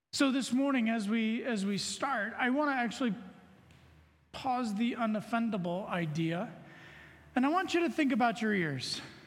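A man speaks at an extremely high pitch with lively intonation, very even loudness and a moderate pace. Long, frequent pauses break up his speech, and room echo is audible. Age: 40s. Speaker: lay preacher, banker. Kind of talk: sermon.

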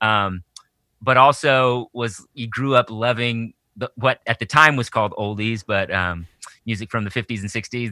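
On a very clean recording with a silent background and a dry, close sound with no echo, a man with an American accent speaks at a fairly low pitch in a bright, sharp tone with fairly even intonation. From Texas, Austin. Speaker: children's musician. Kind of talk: casual interview chat.

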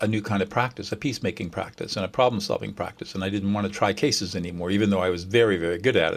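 With a Californian accent, a man talks in a fairly low pitch. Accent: Californian American. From US California. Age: 70s. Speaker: mediator and author. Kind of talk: casual interview chat. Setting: video call.

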